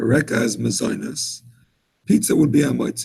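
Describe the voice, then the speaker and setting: The voice carries an American accent. Vocal fry is present. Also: man. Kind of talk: lecture.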